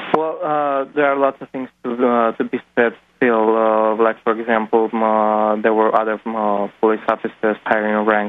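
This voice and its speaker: At a moderate pace, a man with a Romanian accent speaks at medium pitch. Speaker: caller, activist photographer. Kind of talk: phone-in testimony. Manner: halting, many fillers.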